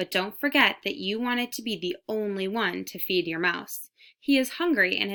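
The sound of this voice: An unforced reading voice with lively intonation, set against a quiet background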